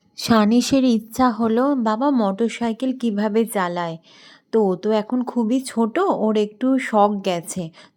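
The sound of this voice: A woman speaks at a fairly high pitch. Her intonation is fairly even and her tone slightly mellow. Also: moderate pace.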